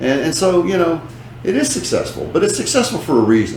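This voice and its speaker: A man with an American accent talks with lively intonation, with audible room echo and noticeable background noise. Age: 60s. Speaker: businessman. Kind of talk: interview.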